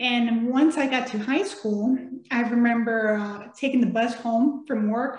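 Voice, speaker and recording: Speaking with a Spanish accent, a woman uses a high pitch, fairly even intonation and a moderate pace. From Mexico, raised in San Antonio, Texas. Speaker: children's author and air force veteran. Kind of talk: interview.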